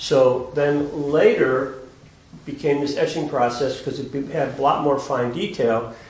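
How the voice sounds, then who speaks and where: A man's fairly high voice with fairly even intonation at a fairly slow pace, with noticeable background noise. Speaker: gallery director. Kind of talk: gallery talk. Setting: gallery with audience.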